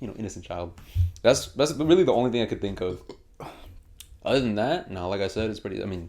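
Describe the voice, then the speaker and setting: In a fairly low pitch, a man talks very fast with lively intonation, big swings in loudness, and long, frequent pauses. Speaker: podcast host. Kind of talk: casual chat. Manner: stutter.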